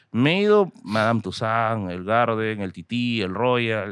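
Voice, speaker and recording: A man speaks with a Peruvian accent. The background is quiet, and the sound is dry, with no echo. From Peru, Tacna. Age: 30s. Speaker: history content creator. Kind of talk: casual chat. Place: studio. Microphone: studio mic.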